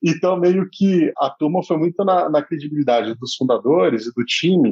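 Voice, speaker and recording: A man talks at a moderate pace in a fairly high pitch. He has a normal speaking voice with ordinary pitch variation. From Brazil, Brasília. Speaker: startup founder and CEO. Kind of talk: casual podcast interview. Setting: studio.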